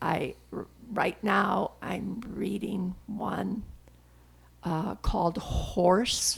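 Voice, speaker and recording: A woman speaks very slowly with long, frequent pauses, her medium pitch and intonation fairly even. Noticeable background noise is present. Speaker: grandmother. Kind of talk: interview answer.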